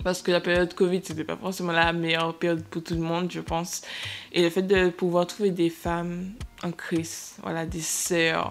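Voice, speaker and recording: This woman's voice sits fairly low and stays monotone and flat. She moves at a moderate pace. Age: 20s. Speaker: podcast host and young entrepreneur. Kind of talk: casual chat. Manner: hesitant, many fillers.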